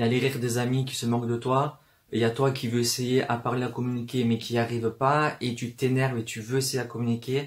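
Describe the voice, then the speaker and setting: A man talks at a fairly quick pace in a medium pitch. His voice is somewhat breathy and his intonation is flat and monotone. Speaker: booktuber. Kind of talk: casual talk to camera. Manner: fast.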